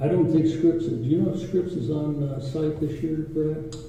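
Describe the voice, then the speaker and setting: A man at a moderate pace amid noticeable background noise and audible room echo. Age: 80s+. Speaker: war veteran, former aviator. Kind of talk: conference presentation and Q&A.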